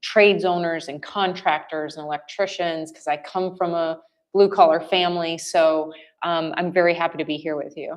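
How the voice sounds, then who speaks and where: Speaking with an American accent, a woman uses a fairly low pitch and a flat, monotone delivery. Her pace is moderate. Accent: Wisconsin accent, slight, comes out at times. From US Midwest, rural Wisconsin. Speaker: business services representative. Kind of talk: podcast interview.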